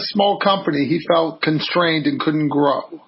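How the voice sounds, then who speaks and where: Noticeable background noise is heard throughout. The delivery keeps a moderate pace. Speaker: podcast host. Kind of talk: podcast interview.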